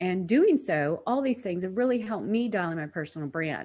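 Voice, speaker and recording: A woman of medium pitch speaks at a fairly quick pace, her pitch swinging very widely. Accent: American. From United States. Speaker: personal branding strategist. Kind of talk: webinar presentation.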